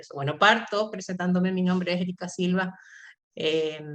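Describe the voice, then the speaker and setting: This woman has a plain, everyday voice at a medium pitch. She talks at a moderate pace. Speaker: artist and university lecturer. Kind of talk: artist talk.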